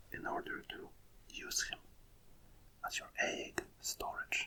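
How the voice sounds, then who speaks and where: Someone is whispering in a soft-spoken way. Background noise is noticeable. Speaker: ASMR creator. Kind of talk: ASMR card readout, whispered. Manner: whispered, soft.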